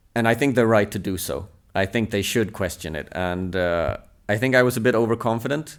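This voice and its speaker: Over a very clean recording with a silent background, a man with a Swedish accent speaks at a fairly quick pace in a fairly low pitch. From southern Sweden. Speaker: table tennis coach. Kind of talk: interview.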